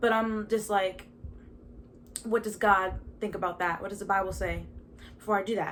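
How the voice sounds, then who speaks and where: A woman with an American accent speaks at a moderate pace and medium pitch, her intonation monotone and flat, broken by long, frequent pauses. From Baltimore, Maryland, US. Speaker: podcast host. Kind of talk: casual testimony monologue. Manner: halting, with stutters and fillers.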